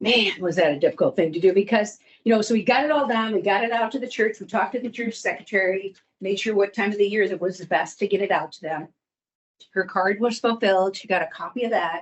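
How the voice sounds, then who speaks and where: A woman speaks very fast at medium pitch, with ordinary pitch variation. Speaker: wealth management advisor. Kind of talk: professional presentation. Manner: conversational.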